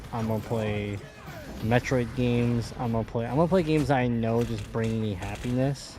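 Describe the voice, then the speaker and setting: Music can be heard behind the voice. The talking goes at a moderate speed. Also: man. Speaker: gaming streamer. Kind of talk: casual chat.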